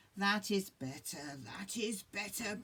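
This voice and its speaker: In a put-on character voice, a female-sounding speaker with a medium pitch talks at a fairly slow pace. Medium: read story. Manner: puffing, eager.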